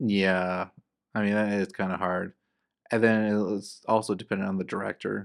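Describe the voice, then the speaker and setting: Against a quiet background, a man speaks in a fairly low pitch. His delivery is monotone and flat, at a moderate pace. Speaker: co-host, movie reviewer. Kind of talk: casual chat, movie review podcast. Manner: casual, joking.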